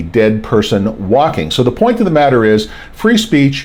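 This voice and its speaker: In an American accent, a man speaks at a medium pitch with an animated tone. Noticeable background noise runs beneath him. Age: 60s. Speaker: podcast host. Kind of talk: opinion monologue.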